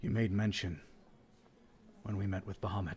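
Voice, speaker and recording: A man puts on a raspy character voice with a fairly low pitch. He talks at a fairly quick pace in a monotone, flat intonation. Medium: actual play. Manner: earnest, measured.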